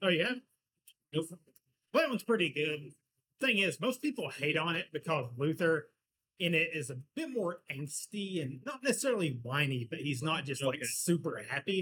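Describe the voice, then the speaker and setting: With a bright, sharp tone and lively intonation, this man talks at a moderate pace, broken by long, frequent pauses. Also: fairly high pitch for a man. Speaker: podcast co-host. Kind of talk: casual chat over beers.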